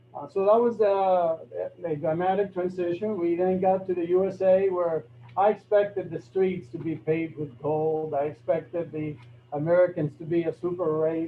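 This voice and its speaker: In a Spanish accent, a man speaks at a moderate pace in a high-pitched voice with fairly even intonation. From Cuba, raised in Florida. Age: 60s. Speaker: neurosurgeon. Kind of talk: talk to a club meeting.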